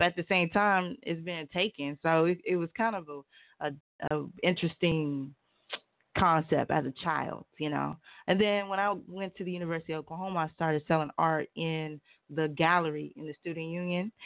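A woman with an American accent has an unremarkable speaking voice at a fairly low pitch. She talks at a moderate pace with fairly even intonation. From North Carolina. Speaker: author and entrepreneur. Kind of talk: radio interview. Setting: radio studio.

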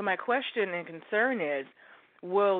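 An ordinary speaking voice in an American accent. It moves at a moderate pace. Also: woman. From Oregon, US. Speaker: caller. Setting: phone call.

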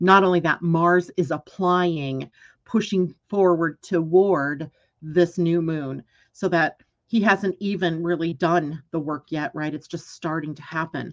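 A woman uses a normal speaking voice, fairly low in pitch, at a fairly slow pace with fairly even intonation. Her loudness swings widely against a quiet background. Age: 60s. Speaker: astrologer and show host. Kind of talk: live solo astrology broadcast. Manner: casual, conversational.

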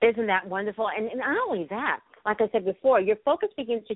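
A woman with a normal speaking voice talks at a fairly quick pace, her fairly high pitch carried by lively intonation. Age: 50s. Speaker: radio host. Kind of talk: interview. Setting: internet radio.

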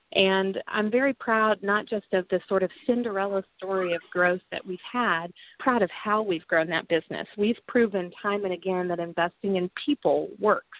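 Speaking with an American accent in a plain, everyday voice, a woman keeps a moderate pace with hardly any pauses, a medium pitch and ordinary pitch variation. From US Midwest, southwest Missouri (Ozarks, Joplin). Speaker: political candidate and business executive. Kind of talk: interview.

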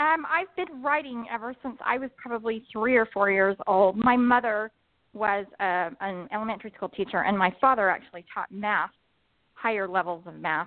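A woman with an American accent speaks at a moderate pace in a plain, everyday voice, her fairly high pitch carried by lively intonation. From southern Utah. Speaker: author. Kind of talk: interview. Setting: phone call.

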